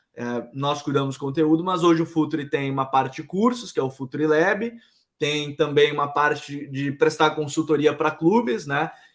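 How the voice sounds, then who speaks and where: Moderate pace from a man with a fairly high pitch and ordinary pitch variation. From Brazil, Pará (Belém). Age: 20s. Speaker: football content head. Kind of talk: podcast interview. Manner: casual, relaxed.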